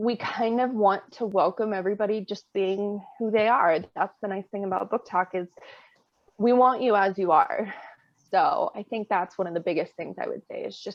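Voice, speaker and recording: A woman's ordinary speaking voice at medium pitch, with ordinary pitch variation and a moderate pace. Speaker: book reviewer on social media. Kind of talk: casual chat.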